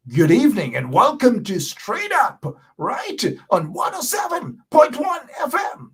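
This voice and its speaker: A man shouts loudly in a put-on character voice, pitched extremely high with very wide pitch swings, at a fairly slow pace. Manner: loud, shouting.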